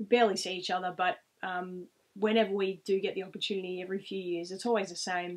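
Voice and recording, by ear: A woman's fairly low voice at a fast pace, with little pitch movement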